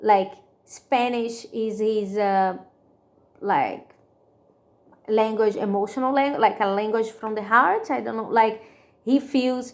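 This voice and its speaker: With a strong Brazilian accent, a woman talks at a very slow pace in a fairly high pitch, her intonation fairly even and her speech marked by long, frequent pauses. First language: Portuguese. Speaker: student presenter. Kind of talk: class presentation. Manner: halting, many fillers.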